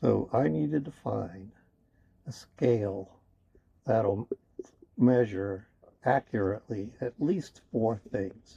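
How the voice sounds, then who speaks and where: A man speaks very slowly at a medium pitch, with long, frequent pauses. His intonation is lively and his voice somewhat breathy. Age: 60s. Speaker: YouTuber. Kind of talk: vlog monologue. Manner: casual, conversational with fillers.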